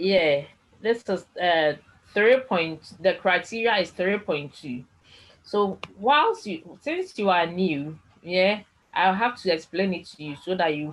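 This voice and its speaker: A woman with a Ghanaian accent talks at a fairly slow pace and fairly low pitch, with lively intonation and big swings in loudness. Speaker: tutor. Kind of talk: online lecture.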